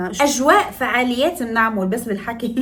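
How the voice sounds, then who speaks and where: Over noticeable background noise and audible room echo, a woman speaks in an animated tone with ordinary pitch variation. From northern Morocco, Tetouan. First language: Moroccan Darija (speaking Arabic). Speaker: makeup artist and lifestyle vlogger. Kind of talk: casual vlog tutorial.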